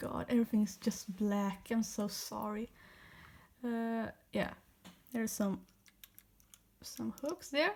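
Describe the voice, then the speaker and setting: Speaking very slowly with long, frequent pauses, a woman with a non-native accent has a fairly high, somewhat breathy voice and ordinary pitch variation. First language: not English. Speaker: toy repair video maker. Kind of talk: tutorial. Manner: casual, with self-corrections.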